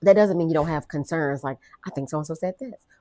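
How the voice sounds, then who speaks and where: A woman speaks with a very deep, low pitch and a dark, mellow tone. Her pitch varies in an ordinary way, and the sound is dry and close with no echo. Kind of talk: interview. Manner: fast.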